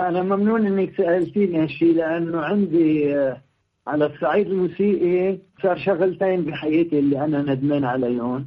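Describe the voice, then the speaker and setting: Speaking at a fairly slow pace, a man keeps his loudness very even and his pitch high. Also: ordinary pitch variation. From Lebanon, Beirut. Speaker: composer and pianist. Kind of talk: interview.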